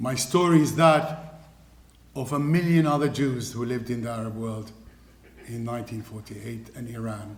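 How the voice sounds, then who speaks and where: A man speaks at a moderate pace and medium pitch, with ordinary pitch variation and big swings in loudness. Audible room echo and noticeable background noise surround him. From Iraq (Baghdad). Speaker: refugee speaker, businessman. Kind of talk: testimony talk.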